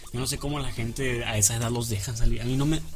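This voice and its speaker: A man talks at a very fast pace. Audible room echo and noticeable background noise surround him. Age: 20s. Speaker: radio host. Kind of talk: casual chat.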